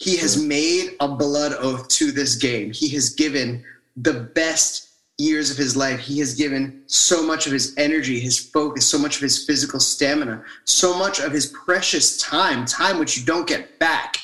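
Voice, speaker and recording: A man with a fairly high pitch talks at a moderate pace with ordinary pitch variation in a plain, everyday voice. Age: 30s. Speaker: podcast co-host. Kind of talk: casual chat. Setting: remote recording from mother's house without mic.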